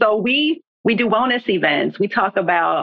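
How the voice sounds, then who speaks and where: Speaking at a fairly slow pace, this is a plain, everyday voice with lively intonation. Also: woman. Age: 40s. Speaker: book club founder. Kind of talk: casual chat.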